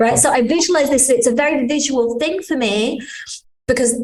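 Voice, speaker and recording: A woman with a British accent, high-pitched, at a moderate pace with ordinary pitch variation and audible room echo. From Britain. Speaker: integrative healing business owner. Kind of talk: interview conversation.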